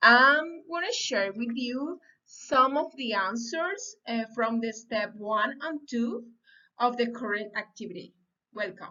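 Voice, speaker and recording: In a Spanish accent, a woman with a high pitch and lively intonation speaks at a very slow pace. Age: 30s. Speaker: language student. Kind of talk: reading aloud. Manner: halting.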